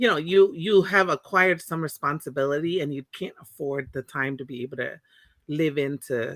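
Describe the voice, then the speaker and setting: A woman with a Californian accent speaks with a very deep, low pitch and big swings in loudness. The sound is dry and close, with no echo. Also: ordinary pitch variation, moderate pace. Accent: Californian American English. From Monterey, California (born in Tonga). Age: 40s. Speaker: Pacific Islander community advocate. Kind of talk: interview conversation.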